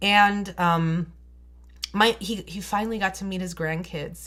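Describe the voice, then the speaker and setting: On a very clean recording with a silent background, a woman speaks at a fairly slow pace with fairly even intonation. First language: not English. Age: 30s. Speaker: beauty vlogger. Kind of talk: storytime vlog.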